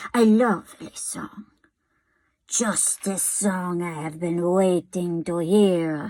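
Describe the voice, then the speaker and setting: A woman whispers in a put-on character voice at a very slow pace. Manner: whispering, pleased.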